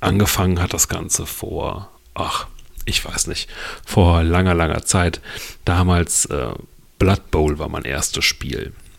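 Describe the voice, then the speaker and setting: Speaking at a very slow pace with vocal fry, ordinary pitch variation, and long, frequent pauses. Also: man, very deep, low pitch for a man. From western Germany, Lower Rhine / Ruhr area border. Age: 40s. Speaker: podcast host. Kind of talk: solo podcast monologue. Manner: casual, with filler words.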